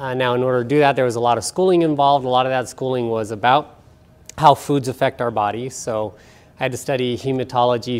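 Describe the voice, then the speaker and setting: With a plain, everyday voice, a man speaks at a medium pitch and a fairly quick pace, his intonation fairly even. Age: 40s. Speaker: nutrition expert. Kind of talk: lecture. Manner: casual.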